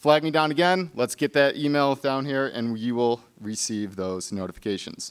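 Against a quiet background, a man talks at a moderate pace with hardly any pauses. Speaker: museum staff host introducing speaker. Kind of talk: event announcements and speaker introduction. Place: hall. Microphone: podium.

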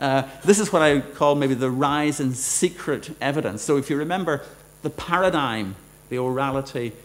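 With a Northern Irish accent, this speaker talks at a fairly slow pace with ordinary pitch variation. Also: man. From Northern Ireland. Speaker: law professor. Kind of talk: lecture. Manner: halting. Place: hall. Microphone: podium.

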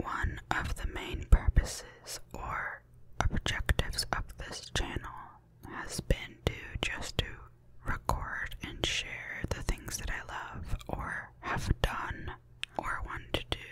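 A woman whispers very slowly while noticeable background noise carries on around her. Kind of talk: casual talk to camera. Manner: soft-spoken.

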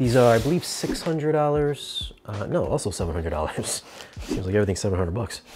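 Over light background noise, a man talks with very wide swings in pitch. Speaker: product reviewer. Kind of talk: product review commentary. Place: home room. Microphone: lapel.

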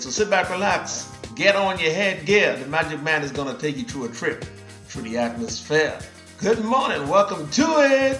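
Over faint background music and audible room echo, a man speaks at a moderate pace in a high voice. His pitch swings very widely. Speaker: radio show host, DJ. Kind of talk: radio show host air check. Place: studio.

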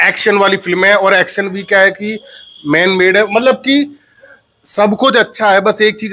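Against a quiet background, a man speaks in a raised, projected voice with a bright, sharp tone. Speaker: film reviewer. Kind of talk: casual film review chat. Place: home room. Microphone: lapel.

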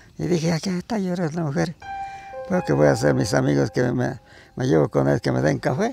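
A man's voice, dry with no echo, with faint music in the background. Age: 80s+. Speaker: farmer. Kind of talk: folk tale told by the fire. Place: open country.

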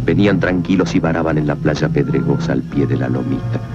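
A man talks at a moderate pace while clear music is heard in the background. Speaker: film narrator. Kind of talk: dramatic film narration. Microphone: old recording.

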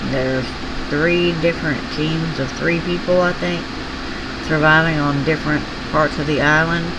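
Over loud background noise, a woman with a Southern US accent speaks with long, frequent pauses. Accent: Southern US drawl. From US South. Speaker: craft hobby YouTuber. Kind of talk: casual chat. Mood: tender when remembering son. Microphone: phone near.

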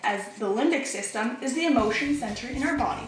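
With a raised, projected voice and lively intonation, a woman speaks at a fairly quick pace amid audible room echo. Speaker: narrator. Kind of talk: educational explainer voice-over. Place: bathroom.

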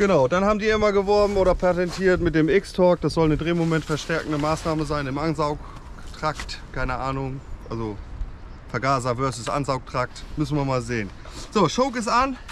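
Lively intonation carries this voice along at a moderate pace over light background noise. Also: man, dry sound with no echo. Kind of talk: casual conversation between two people. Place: forest. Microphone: phone near.

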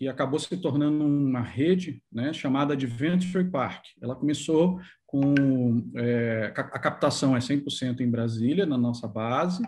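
Against light background noise, a man with an ordinary speaking voice talks in a fairly high pitch with ordinary pitch variation. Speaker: entrepreneur, tourism business owner. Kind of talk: interview. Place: home room. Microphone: video call.

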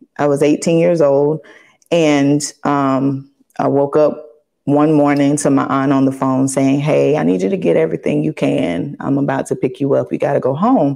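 A woman with a Southern US accent speaks at a moderate pace in a very deep, low voice with a dark, mellow tone, ordinary pitch variation and very even loudness against a quiet background. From US South. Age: 40s. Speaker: pastor's wife. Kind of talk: casual interview. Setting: studio. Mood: reflective, recounting personal story. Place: studio.

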